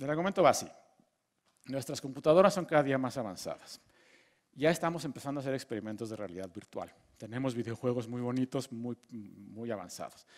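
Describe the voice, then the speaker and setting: A man at medium pitch and a fairly quick pace, with big swings in loudness, over a quiet background. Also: lively intonation. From Mexico. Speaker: physicist giving a lecture course. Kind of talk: lecture. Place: hall. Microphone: headset.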